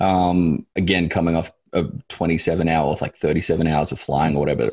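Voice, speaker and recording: The delivery is fairly quick, with monotone, flat intonation and very even loudness. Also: man, very deep, low pitch for a man. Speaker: sports analyst. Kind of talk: casual chat.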